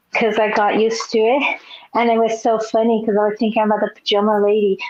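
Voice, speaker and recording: Fairly quick speech from a woman with a fairly high pitch, over noticeable background noise. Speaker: interpreter, viewer joining a knitting live stream. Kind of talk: casual chat. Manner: halting.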